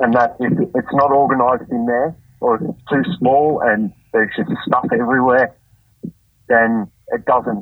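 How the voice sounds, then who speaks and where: Here a man speaks in an Australian accent at a medium pitch. His pace is fairly slow and his intonation fairly even. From Australia, Campbelltown NSW. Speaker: greenkeeper. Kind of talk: casual interview. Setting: phone call.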